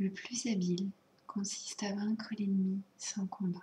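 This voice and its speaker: The speech is soft-spoken and very slow. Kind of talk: ASMR soft-spoken show and tell.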